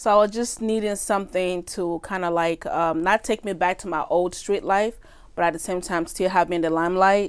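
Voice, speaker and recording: A woman with a medium pitch speaks in a strong Nigerian accent. Her pace is fairly quick and her intonation fairly even. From Nigeria, then Belgium from age seven. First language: Nigerian native language, also French. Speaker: actress and musician. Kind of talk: interview chat.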